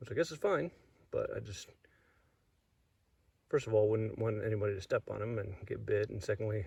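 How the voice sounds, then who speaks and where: Talking at a fairly quick pace, a man leaves long, frequent pauses and swings widely in loudness. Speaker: snake-hunting vlogger. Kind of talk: outdoor vlog narration. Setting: outdoors on a trail.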